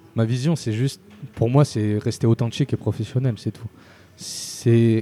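Recorded with a dry, close sound and no echo, a man's medium-pitched voice has a dark, mellow tone and fairly even intonation. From Spain and Marseille. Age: 20s. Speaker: start-up founder. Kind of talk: interview. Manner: casual.

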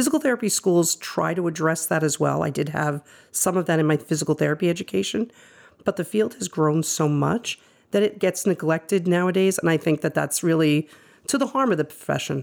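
An unremarkable speaking voice with lively intonation and very even loudness at a fairly quick pace, on a very clean recording with a silent background. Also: woman, fairly low pitch for a woman. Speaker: physical therapist and adjunct professor. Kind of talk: casual interview chat.

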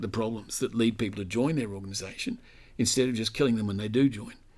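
A man with an Australian accent at a fairly quick pace, with ordinary pitch variation, in a very clean recording with a silent background. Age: 60s. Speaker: author and commentator on religion. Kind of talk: interview.

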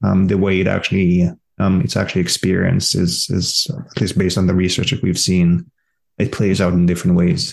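Very even loudness at a fairly quick pace, with ordinary pitch variation. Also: man, very deep, low pitch for a man. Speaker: professor. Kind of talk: casual chat.

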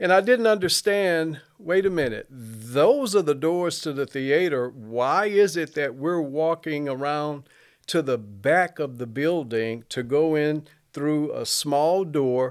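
A man with a fairly high pitch speaks very slowly with lively intonation, in a very clean recording with a silent background. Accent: Alabama. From US South, Mobile, Alabama. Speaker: church member. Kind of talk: testimony.

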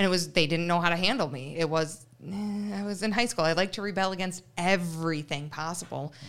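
With an ordinary speaking voice, a woman talks at a fairly quick pace with hardly any pauses, using a fairly low pitch and ordinary pitch variation. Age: 20s. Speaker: veterinary technician. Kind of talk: casual interview. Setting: studio.

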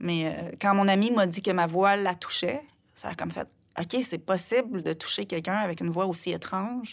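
A woman's medium-pitched voice, with ordinary pitch variation, sits on a very clean recording against a silent background. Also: moderate pace. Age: 50s. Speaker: singer-songwriter. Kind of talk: interview conversation. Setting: studio.

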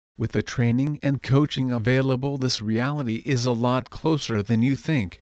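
In a plain, everyday voice, a man speaks at a medium pitch and moderate pace with very even loudness. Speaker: promoter. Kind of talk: sales pitch promoting a membership community. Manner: polished, persuasive, upbeat; steady, clear, scripted-sounding.

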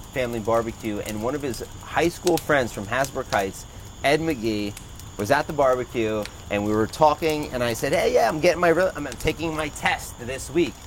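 Amid noticeable background noise, a man with a New Jersey accent talks at medium pitch with ordinary pitch variation. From New Jersey, Toms River. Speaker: realtor and entrepreneur. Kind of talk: casual chat. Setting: outdoors by a fire pit with small audience.

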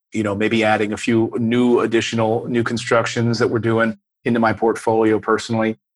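Over a silent background in a very clean recording, a man with a normal speaking voice talks at a fairly quick pace and a medium pitch. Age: 40s. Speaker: real estate investor and YouTuber. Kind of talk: interview.

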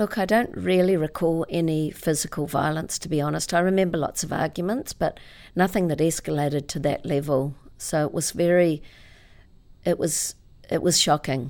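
A woman speaks with a New Zealand accent at a fairly low pitch. The recording is very clean, with a silent background. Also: ordinary pitch variation, moderate pace. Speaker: author and motivational speaker. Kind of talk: interview.

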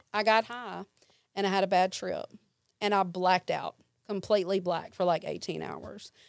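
The speech comes with a Mississippi accent. The recording is very clean, with a silent background. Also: woman. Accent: US Southern (Mississippi). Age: 40s. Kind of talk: testimony. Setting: studio.

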